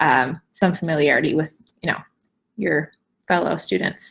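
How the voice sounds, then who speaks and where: Using vocal fry, a woman speaks at a moderate pace with lively intonation. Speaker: university admissions representative. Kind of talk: admissions presentation.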